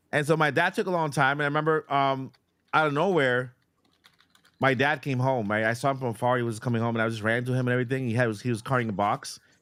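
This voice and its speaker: Very fast speech from a man with a Boston accent and ordinary pitch variation. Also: medium pitch for a man. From Boston, Massachusetts, then Puerto Rico. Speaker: YouTuber, podcast co-host. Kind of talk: casual chat. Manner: halting, with repetitions.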